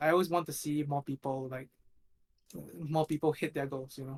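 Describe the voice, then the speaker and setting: A man with a fairly high pitch talks at a very fast pace in a somewhat breathy voice, with fairly even intonation and a dry, close sound with no echo. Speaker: competitive mobile game player. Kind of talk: casual chat. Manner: flat, not very expressive; hesitant, many fillers.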